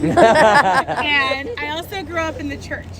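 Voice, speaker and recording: Amid crowd noise in the background and audible room echo, a woman talks in an animated tone. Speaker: rally speaker. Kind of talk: personal testimony speech. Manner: loud.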